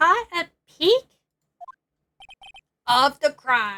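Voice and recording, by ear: A raspy put-on character voice with very wide pitch swings. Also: woman.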